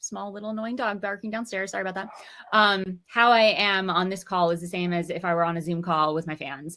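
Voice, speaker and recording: A woman talks fairly quickly in an energetic, animated tone, at medium pitch with ordinary pitch variation. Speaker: musician and course teacher. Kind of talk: webinar interview. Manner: fast.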